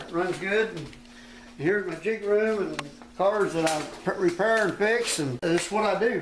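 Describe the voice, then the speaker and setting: Against noticeable background noise and audible room echo, a man with an American accent speaks at a moderate pace with ordinary pitch variation. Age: 60s. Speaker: race car builder and driver. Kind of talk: casual interview during shop tour. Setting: workshop tour.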